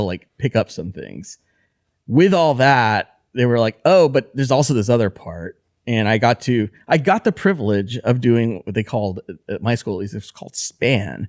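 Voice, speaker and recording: Over a quiet background, a man speaks at a medium pitch and a moderate pace with lively intonation and big swings in loudness. The sound is dry and close, with no echo. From Texas (Abilene), moved from Honduras at five. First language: Spanish. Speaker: designer. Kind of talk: casual chat. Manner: casual, many fillers and restarts.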